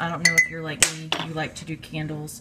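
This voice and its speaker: A woman talks in a very deep, low pitch at a moderate pace. Light background noise is present. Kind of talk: casual tutorial. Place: kitchen. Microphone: phone near.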